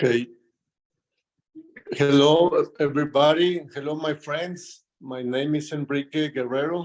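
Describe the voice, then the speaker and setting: With a Mexican accent, a man speaks in a fairly high, flat monotone. He leaves long, frequent pauses. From Chihuahua, Mexico. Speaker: rancher and consultant. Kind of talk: presentation talk. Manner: halting, repeats words.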